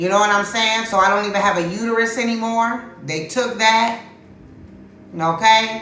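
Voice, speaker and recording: An animated tone at a moderate pace, with noticeable background noise and audible room echo. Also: woman, fairly high pitch for a woman. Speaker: tarot reader. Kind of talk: livestream tarot reading chat. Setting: livestream. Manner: loud.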